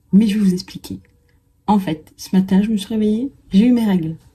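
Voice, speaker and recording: A somewhat breathy woman's voice with a dark, mellow tone. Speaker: writing vlogger. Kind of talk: vlog monologue. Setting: at home with window open. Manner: whispering.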